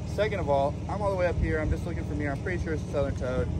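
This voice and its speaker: A man is heard with a dry sound and no echo. Loud background noise runs behind him. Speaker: snake hunter vlogger. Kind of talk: casual vlog chat.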